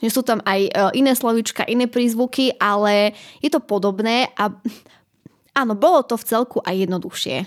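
A woman speaks at a fairly high pitch in an unremarkable speaking voice. Her pace is moderate, with ordinary pitch variation. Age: 20s. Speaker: university student. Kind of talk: interview.

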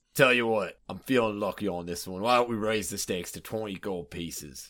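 A put-on character voice, raspy and fairly quick, with ordinary pitch variation. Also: man, fairly low pitch for a man. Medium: actual play. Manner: chummy, wheeling-dealing.

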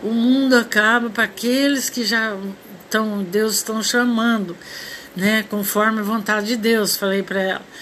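A woman's fairly high voice at a moderate pace, flat and monotone, with noticeable background noise. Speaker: amateur radio host. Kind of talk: informal monologue, religious reflection. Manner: halting.

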